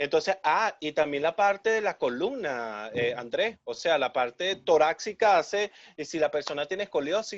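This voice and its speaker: The speaker keeps a moderate pace. There are hardly any pauses. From Venezuela. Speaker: physical education professor and show host. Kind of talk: casual interview.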